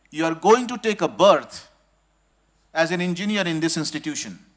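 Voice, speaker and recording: The speaker is male. His voice rises and falls in a lively way. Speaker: industry executive giving guest speech. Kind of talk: ceremonial speech to students. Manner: slow, deliberate.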